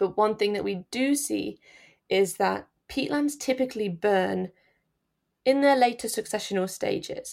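A woman with an East Midlands accent at a fairly slow pace. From England, Nottinghamshire (East Midlands). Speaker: peatland wildfire scientist. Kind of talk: interview. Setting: remote recording from the UK.

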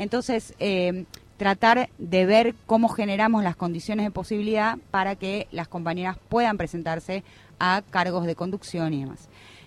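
With ordinary pitch variation, the delivery comes at a moderate pace in an unremarkable speaking voice. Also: woman, medium pitch for a woman. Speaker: radio worker and union representative. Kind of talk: radio interview.

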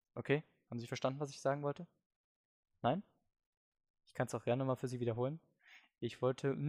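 The pace is very fast. Long pauses come frequently. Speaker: podcast host. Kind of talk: comedic monologue.

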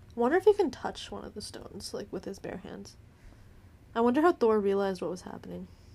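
A woman talks at a very fast pace, her loudness swinging widely. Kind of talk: movie commentary chat. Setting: studio with headphones.

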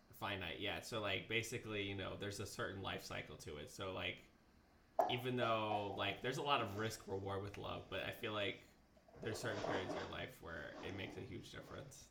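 A man speaks at a fairly low pitch with ordinary pitch variation. The pace is fairly quick, and there is noticeable background noise. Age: 20s. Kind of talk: casual chat.

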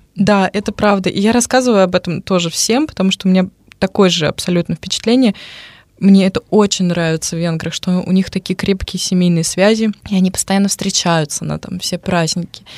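Recorded with a dry, close sound and no echo, a woman with an unremarkable speaking voice talks at a fairly quick pace and medium pitch, her intonation fairly even. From Russia, Moscow. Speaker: radio presenter. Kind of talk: casual chat. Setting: studio.

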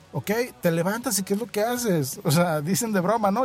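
With a Mexican accent, a man speaks in an animated tone at a fairly quick pace, his high pitch carrying lively intonation. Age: 30s. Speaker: podcast host and insurance agent. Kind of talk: casual monologue. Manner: animated, conversational.

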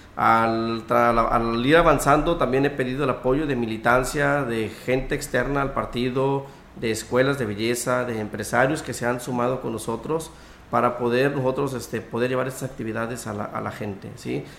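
Noticeable background noise and audible room echo behind a man's medium-pitched voice at a moderate pace, with fairly even intonation. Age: 30s. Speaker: local party politician. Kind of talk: radio interview.

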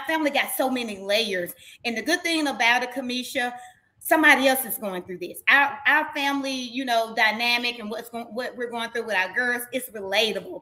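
In a Southern US accent, a woman talks at a moderate pace with a high pitch, ordinary pitch variation and big swings in loudness. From Mississippi. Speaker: reality TV personality. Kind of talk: interview. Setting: video call.

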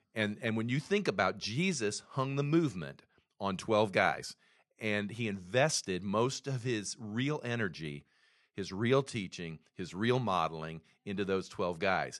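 A man's plain, everyday voice, fairly low in pitch and lively in intonation, at a fairly slow pace against a quiet background. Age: 60s. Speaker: pastor. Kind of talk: casual chat.

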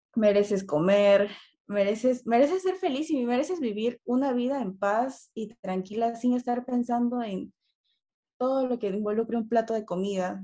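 A woman speaks in a dark, mellow tone at a fairly high pitch. Her pace is moderate and her pitch varies in an ordinary way. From Peru. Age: 20s. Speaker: eating disorder recovery advocate. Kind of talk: interview.

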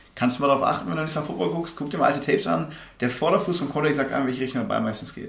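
Over noticeable background noise and audible room echo, a man talks at a very fast pace. His pitch is fairly high and his intonation lively. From Germany, Remscheid (Bergisches Land). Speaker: American football player. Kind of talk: casual chat.

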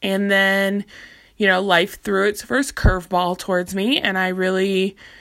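Recorded very cleanly with a silent background, a woman speaks fairly slowly at a medium pitch with fairly even intonation. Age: 20s. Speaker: podcast host. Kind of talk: personal monologue. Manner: halting.

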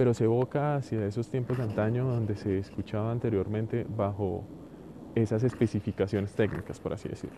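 Here a man speaks at a fairly quick pace. His is an unremarkable speaking voice with fairly even intonation. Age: 30s. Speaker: podcaster. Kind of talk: solo monologue audioblog.

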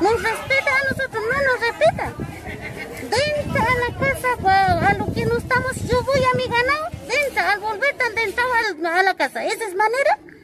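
Over crowd noise in the background, a woman talks at a moderate pace with an extremely high pitch and ordinary pitch variation. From northern Chile altiplano, Colchane. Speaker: local resident interviewed. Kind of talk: testimony. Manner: halting.

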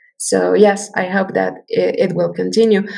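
Fairly slow speech from a woman with a Spanish accent. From Mexico. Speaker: multimedia artist. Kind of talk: interview. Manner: halting.

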